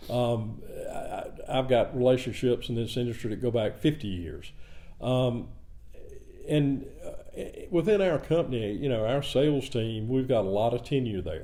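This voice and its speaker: In a Southern US accent, the speaker keeps a moderate pace with ordinary pitch variation. Long, frequent pauses break up the speech. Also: man, medium pitch for a man. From US South, rural south Georgia near Savannah. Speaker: cement company president. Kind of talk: podcast interview. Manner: halting.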